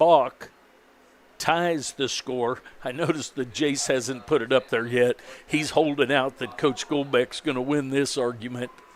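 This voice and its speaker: A man speaks in a normal speaking voice at a fairly slow pace. His intonation is fairly even. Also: medium pitch for a man. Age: 60s. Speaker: baseball play-by-play broadcaster. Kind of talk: live commentary.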